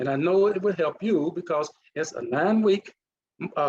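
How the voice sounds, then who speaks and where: A man with a Mississippi accent speaks with ordinary pitch variation. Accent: Mississippi accent, still noticeable. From US South, Mississippi (Duck Hill). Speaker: leadership coach and retired naval officer. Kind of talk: conference presentation. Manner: halting, with restarts.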